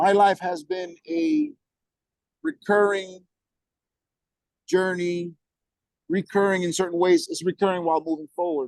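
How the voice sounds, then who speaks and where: In a dry, close recording with no echo, a man with a Spanish accent speaks in a high voice with ordinary pitch variation. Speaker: guest on discussion call. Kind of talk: casual chat. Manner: halting, many repetitions and false starts; animated.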